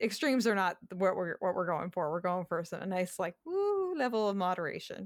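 On a very clean recording with a silent background, a woman with an American accent and an unremarkable speaking voice talks fairly quickly at a medium pitch, with ordinary pitch variation. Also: hardly any pauses. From Massachusetts. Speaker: dietitian. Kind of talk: casual interview.

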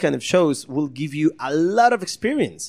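A man speaks with a Costa Rican accent. His intonation is lively. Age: 30s. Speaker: magician. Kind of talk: casual interview. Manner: halting.

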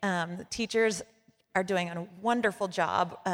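A woman with a medium pitch and ordinary pitch variation has a normal speaking voice, captured in a very clean recording with a silent background. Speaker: education and mentoring director.

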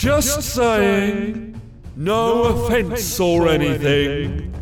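A man uses a put-on character voice pitched high for a man. He talks at a very slow pace over clear background noise. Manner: weary, whiny, casual.

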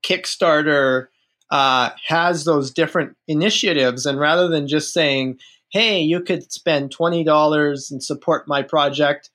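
Speaking at a fairly slow pace, this man has a normal speaking voice with a fairly high pitch and fairly even intonation. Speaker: author. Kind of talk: casual chat.

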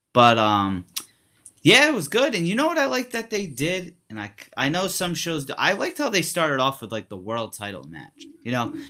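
On a very clean recording with a silent background, the speech moves at a fairly quick pace with very wide pitch swings and big swings in loudness. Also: man, fairly high pitch for a man. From Rhode Island. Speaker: wrestling podcast co-host. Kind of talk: casual chat.

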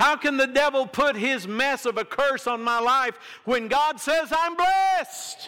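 A man speaks in an extremely high, raised and projected voice with a bright, sharp tone. His intonation is lively, his loudness very even, and his pace fairly slow. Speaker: pastor. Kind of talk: sermon. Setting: church.

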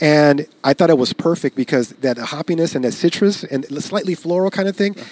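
With an American accent, a man talks fairly quickly in a fairly high pitch and lively intonation, the sound dry and close with no echo. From East Los Angeles, California. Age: 40s. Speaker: craft beer brewery founder. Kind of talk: casual chat. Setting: studio.

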